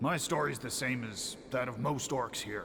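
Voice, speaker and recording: A man performs in a put-on character voice. Clear background noise runs through the clip. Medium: video game. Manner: gruff, bitter.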